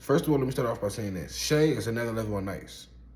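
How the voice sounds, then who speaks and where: An animated male voice with audible room echo. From Brooklyn, New York (Coney Island). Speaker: rapper and basketball commentator. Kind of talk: casual opinion monologue.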